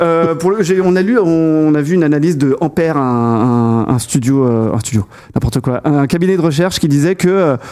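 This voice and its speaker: Over noticeable background noise, a man with a fairly high pitch uses lively intonation while keeping his loudness very even. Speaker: tech podcast host. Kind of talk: casual tech podcast discussion. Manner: fast; halting, many fillers.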